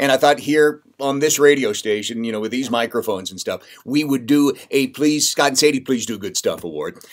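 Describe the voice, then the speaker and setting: The man talks fairly quickly, and the background is quiet. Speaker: radio host. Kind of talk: casual vlog chat. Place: studio.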